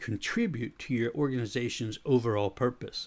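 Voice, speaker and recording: Recorded very cleanly against a silent background, a man with an American accent and an unremarkable speaking voice talks at a moderate pace and medium pitch. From United States. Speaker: podcast host and leadership author. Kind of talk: scripted narration.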